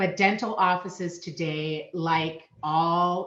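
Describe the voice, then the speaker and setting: This woman speaks in a Minnesotan accent, her fairly low voice keeping a fairly even intonation. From Minnesota, US. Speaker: payment solutions sales manager. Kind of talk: podcast interview.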